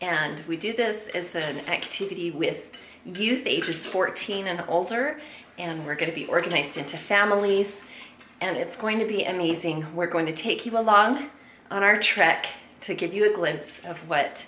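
A woman talks at a moderate pace with ordinary pitch variation, with audible room echo and light background noise. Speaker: family vlogger. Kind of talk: casual vlog chat. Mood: cheerful, laughing. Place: home room. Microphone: phone near.

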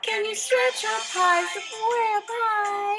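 A woman's extremely high, raised and projected voice with a cheerful tone, ordinary pitch variation and a very slow pace, over clear music in the background. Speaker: children's librarian. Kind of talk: children's story time reading. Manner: cheerful, friendly, encouraging. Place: home room. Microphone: webcam.

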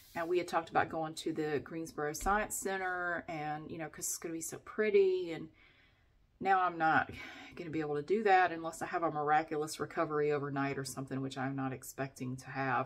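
A woman speaks at a fairly quick pace. Her pitch is very deep and low. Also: ordinary pitch variation, big swings in loudness. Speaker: vlogger. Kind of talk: casual vlog chat. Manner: sick, tired, congested-sounding talk. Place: bathroom. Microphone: phone near.

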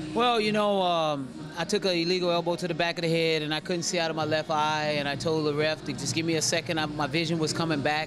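The speech is very fast with hardly any pauses, over noticeable background noise. Loudness stays very even and intonation fairly even. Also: man, fairly high pitch for a man. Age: 40s. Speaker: mixed martial arts fighter. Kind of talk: post-fight interview. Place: hall. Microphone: handheld.

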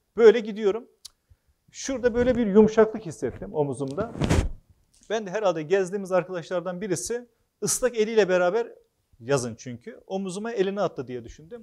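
Against a quiet background, a man with a high voice and a dark, mellow tone speaks at a fairly quick pace with lively intonation and big swings in loudness. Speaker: author and former local official; speaker. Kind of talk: public talk; public talk, storytelling. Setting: hall with live audience. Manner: hesitant, frequent filler sounds. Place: hall. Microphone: lapel.

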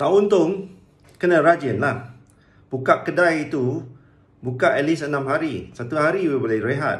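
Somewhat breathy and fairly high-pitched, a man speaks at a fairly slow pace with ordinary pitch variation amid audible room echo. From Malaysia. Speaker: business coach. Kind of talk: tutorial. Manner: casual, halting with fillers. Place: home room. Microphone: phone near.

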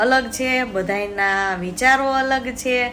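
Noticeable background noise behind a woman, her pitch varying an ordinary amount. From Amreli, Saurashtra, Gujarat. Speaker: vlogger. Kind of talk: personal vlog monologue.

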